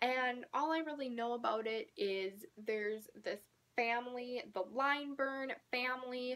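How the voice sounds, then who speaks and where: A woman speaks quietly and fairly slowly in a high voice, with ordinary pitch variation. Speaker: book YouTuber. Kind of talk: casual vlog talk to camera. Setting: at home, filming late at night.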